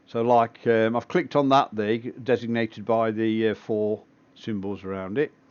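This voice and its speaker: A man with an English accent, medium pitch, a relaxed tone, fairly even intonation and a moderate pace. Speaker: amateur astronomer livestreaming telescope session. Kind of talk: live stream commentary, casual tutorial. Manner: relaxed, with frequent fillers.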